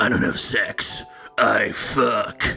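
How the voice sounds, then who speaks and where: A man puts on a raspy character voice. Music plays in the background. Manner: growling, brooding.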